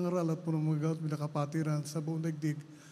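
A man speaks at a very fast pace with a fairly high pitch. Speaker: prayer leader; preacher. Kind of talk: fervent prayer and exhortation; sermon. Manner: loud, fervent, shouting commands.

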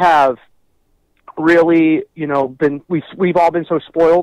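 Recorded dry with no echo and a quiet background, a man talks in an American accent. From Los Angeles. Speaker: rock singer and Lakers fan. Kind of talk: casual chat. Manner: animated. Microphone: phone line.

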